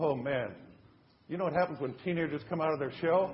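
This man has an American accent and a high pitch with ordinary pitch variation. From California. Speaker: preacher. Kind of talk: sermon.

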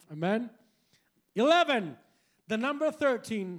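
A man with a Spanish accent, animated in tone and lively in intonation, on a very clean recording with a silent background. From Puerto Rico, San Juan. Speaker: preacher. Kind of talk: bilingual sermon. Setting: church with congregation. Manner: animated, loud.

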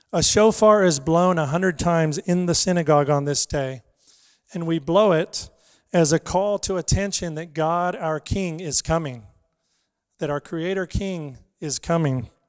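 In an American accent, a man speaks at a high pitch with ordinary pitch variation and a moderate pace. The sound is dry and close with no echo, on a very clean recording against a silent background. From Los Angeles, California. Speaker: missionary preacher. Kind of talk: sermon. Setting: church.

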